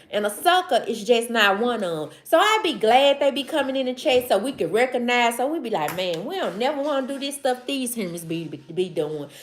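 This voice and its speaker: The voice is animated, with a Southern accent and very wide pitch swings. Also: woman. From US South, Mississippi. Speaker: live streamer. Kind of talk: casual livestream chat. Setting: livestream.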